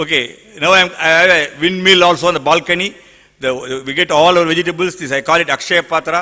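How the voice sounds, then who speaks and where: A man's high-pitched voice at a fairly quick pace. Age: 60s. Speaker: environmental activist. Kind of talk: panel talk with slides. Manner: animated.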